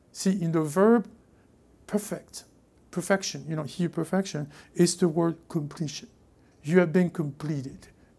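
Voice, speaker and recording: In a French accent, the speaker talks at a moderate pace with long, frequent pauses. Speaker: pastor. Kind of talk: sermon. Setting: church.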